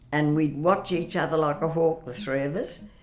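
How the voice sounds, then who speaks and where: Over music in the background, a woman speaks at a very deep, low pitch. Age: 80s+. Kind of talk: interview answer.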